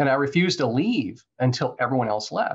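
A somewhat breathy voice at a fairly quick pace, lively intonation over a quiet background. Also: man. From Florida. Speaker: real estate entrepreneur. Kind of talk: interview. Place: office. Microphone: video call.

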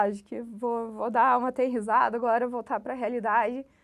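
A woman talks at a fairly quick pace in a high pitch, with fairly even intonation. The background is quiet. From Curitiba, southern Brazil; Paraná, Brazil. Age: 30s. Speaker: bank employee, successful civil-service exam candidate; candidate. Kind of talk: interview. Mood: calm, reflective. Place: office. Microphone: lapel.

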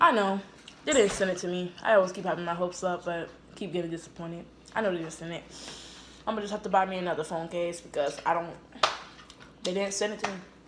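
Over noticeable background noise, a woman speaks very fast with fairly even intonation. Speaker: vlogger. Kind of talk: casual vlog chat. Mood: annoyed, disappointed. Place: home room. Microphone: phone near.

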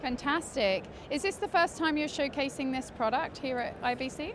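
Clear background noise sits behind a woman speaking at high pitch. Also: ordinary pitch variation, moderate pace.

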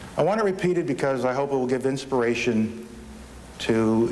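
Over noticeable background noise, a man with an American accent talks at a fairly quick pace, his intonation lively. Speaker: TV news anchor. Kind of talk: late-night local TV newscast, reading stories and lead-ins from the anchor desk. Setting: TV studio. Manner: polished, measured anchor delivery with crisp broadcast cadence.

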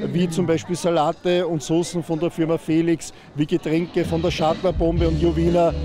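The sound is dry with no echo, though background noise is noticeable. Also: man. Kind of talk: interview answer. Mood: pleased, promotional. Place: open country. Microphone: handheld.

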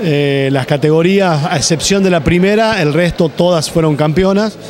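At a moderate pace with ordinary pitch variation, a man talks in a dry sound with no echo over light background noise. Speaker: sports director and coach. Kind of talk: interview; interview answer. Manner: halting, with many fillers. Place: hall. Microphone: handheld.

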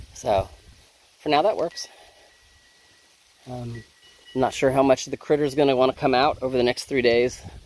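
A man talks at a moderate pace with fairly even intonation. The sound is dry, with no echo. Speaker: homesteader vlogger. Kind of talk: casual vlog chat. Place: garden. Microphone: phone near.

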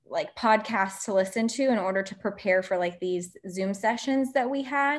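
A woman talks in an American accent with ordinary pitch variation. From Florida. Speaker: medical student; panelist. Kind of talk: webinar panel discussion. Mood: earnest, positive. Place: home room. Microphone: video call.

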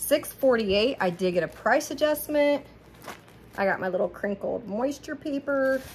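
This woman's high voice moves at a fairly slow pace with lively intonation over light background noise. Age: 40s. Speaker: haul vlogger. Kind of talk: casual product haul monologue. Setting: home kitchen, ring light camera. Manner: chatty, rambling. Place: kitchen. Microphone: phone near.

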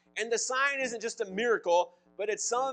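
A high-pitched man speaks at a moderate pace with ordinary pitch variation. Faint music plays in the background. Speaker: pastor. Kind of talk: sermon. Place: church.

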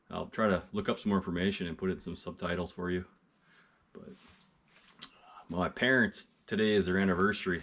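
A man's very deep, low voice at a fairly quick pace, with fairly even intonation. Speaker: outdoor vlogger. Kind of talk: casual vlog chat. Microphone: phone near.

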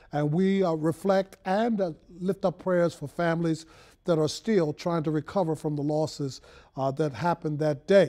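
A man with an American accent speaks at a fairly slow pace, his fairly high voice dark and mellow in tone with ordinary pitch variation, against a quiet background. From Baltimore, Maryland. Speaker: radio and TV host. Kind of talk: broadcast hosting. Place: studio. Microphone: lapel.

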